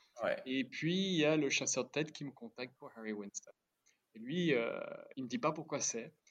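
An unremarkable speaking voice is heard here. It moves at a moderate pace with lively intonation. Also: man, fairly high pitch for a man. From Switzerland. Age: 50s. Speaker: watch company founder. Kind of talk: interview.

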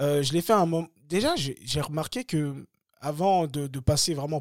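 A man at fairly high pitch with ordinary pitch variation, dry and close with no echo, on a very clean recording with a silent background. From Paris suburbs, France (Bagneux). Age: 30s. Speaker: former pro boxer and coach. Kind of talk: casual interview. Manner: hesitant with many fillers and repetitions.

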